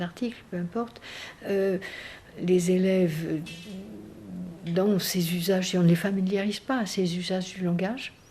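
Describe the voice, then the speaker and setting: Noticeable background noise sits under speech that goes at a fairly slow pace. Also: woman. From southwestern France. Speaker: education researcher and professor. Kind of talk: research interview. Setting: interview recorded in Paris. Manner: hesitant, many fillers.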